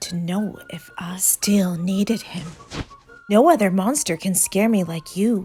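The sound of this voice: Reading done in an unforced voice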